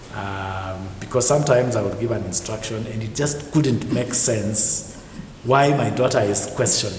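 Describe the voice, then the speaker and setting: Noticeable background noise and audible room echo fill the space as this man talks at a moderate pace, his pitch varying in an ordinary way. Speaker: parent guest. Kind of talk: interview.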